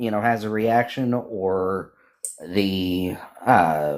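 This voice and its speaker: A man's fairly low-pitched voice at a very slow pace. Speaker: podcast guest, service dog handler. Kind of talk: podcast discussion, explaining law.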